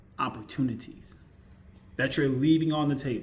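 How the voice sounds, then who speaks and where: This man's voice is fairly high in pitch and somewhat breathy, with ordinary pitch variation. Audible echo from the room surrounds it. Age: 40s. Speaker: YouTuber, IT support worker. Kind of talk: casual vlog monologue. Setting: at home. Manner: repetitive, conversational.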